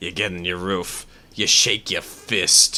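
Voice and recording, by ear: A man puts on a character voice, pitched very deep and low, and takes a fairly slow pace.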